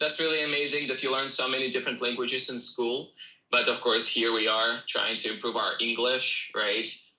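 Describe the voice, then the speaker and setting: The voice has a bright, sharp tone and a Russian accent. It moves at a moderate pace with ordinary pitch variation. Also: man. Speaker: English teacher. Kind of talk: self-promotion; casual livestream chat.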